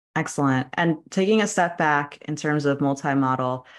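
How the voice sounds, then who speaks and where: A woman with a very deep, low pitch and ordinary pitch variation speaks against a quiet background. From US tri-state area (New York region). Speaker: podcast host and data scientist. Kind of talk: casual interview.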